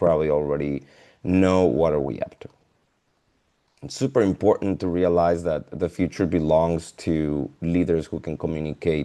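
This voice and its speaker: The man's pitch is very deep and low. His tone is dark and mellow, and he keeps a moderate pace. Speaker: leadership consultant and presenter. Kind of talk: webinar presentation. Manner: halting, with filler words.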